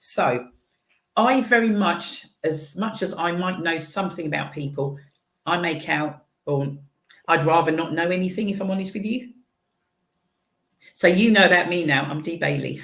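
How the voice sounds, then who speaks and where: Amid audible room echo, a woman with a fairly low pitch and ordinary pitch variation speaks with long, frequent pauses. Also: moderate pace. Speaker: radio show host. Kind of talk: casual chat interview. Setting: live-streamed radio studio. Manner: animated.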